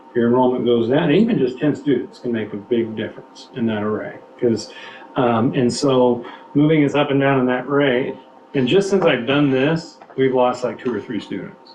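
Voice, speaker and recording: A man with an American accent and ordinary pitch variation, amid noticeable background noise and audible room echo. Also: medium pitch for a man. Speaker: school administrator presenting budget. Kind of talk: board meeting presentation. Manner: fast; halting, many fillers and restarts.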